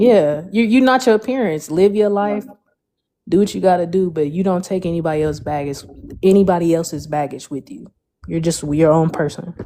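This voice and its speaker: Intonation is lively in this ordinary speaking voice. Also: woman, fairly low pitch for a woman. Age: 30s. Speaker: podcast co-host. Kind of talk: casual chat.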